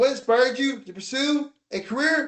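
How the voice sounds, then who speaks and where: With an American accent, a man speaks at an extremely high pitch and a fairly slow pace. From Charlotte, North Carolina. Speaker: interviewer. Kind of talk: interview.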